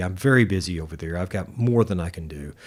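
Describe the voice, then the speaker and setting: Very fast and lively in intonation, a man speaks with a Southern US accent. The recording is very clean, with a silent background. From US South, Arkansas. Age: 60s. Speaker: guitar shop owner and musician. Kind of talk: casual interview chat. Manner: halting, many repeated words.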